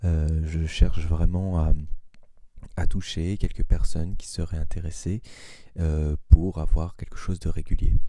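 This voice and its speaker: A soft-spoken man with a dark, mellow tone, a very slow pace and fairly even intonation. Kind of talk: soft-spoken ASMR introduction talk. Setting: low-quality microphone. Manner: hesitant, many filler sounds.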